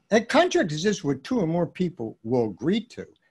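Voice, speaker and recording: Over a quiet background, a man with an American accent speaks at a moderate pace. His pitch is high. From US Northeast, Philadelphia. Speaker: music business consultant and educator. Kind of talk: casual chat. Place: home room.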